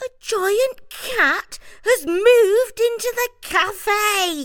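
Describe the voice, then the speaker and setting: In a put-on character voice, the speaker goes very slowly with an extremely high, squeaky, shrill pitch. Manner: alarmed, startled.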